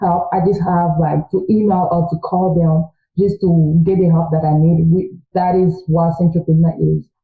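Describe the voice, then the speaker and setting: A woman with a French accent, medium in pitch, at a moderate pace. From Congo. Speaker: student. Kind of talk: interview.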